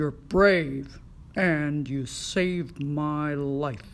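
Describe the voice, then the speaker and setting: A cartoonish character voice sounds female, pitched low to middle. It moves at a very slow pace. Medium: puppet.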